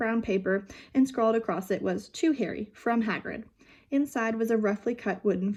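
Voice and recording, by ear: Pitch varies in an ordinary way. The text is being read aloud in a natural voice.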